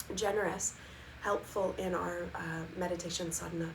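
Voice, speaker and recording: The speaker has a calm, gentle tone and fairly even intonation at a moderate pace. Noticeable background noise sits behind the voice. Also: woman. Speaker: Ayurveda and meditation teacher. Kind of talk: live-streamed wellness talk. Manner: calm, gentle, with frequent fillers.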